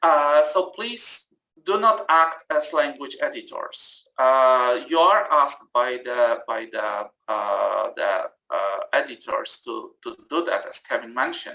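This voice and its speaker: Very slow speech with a non-native accent. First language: not English. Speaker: journal editor and reviewer giving a workshop talk. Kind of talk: webinar presentation. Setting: online webinar. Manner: halting, many fillers.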